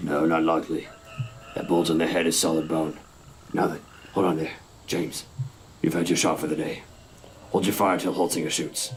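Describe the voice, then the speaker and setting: Over clear background noise, a man puts on a raspy character voice with a very deep, low pitch, moving at a fairly quick pace between long, frequent pauses. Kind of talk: 1950s radio drama acting. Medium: old radio play. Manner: laconic, even.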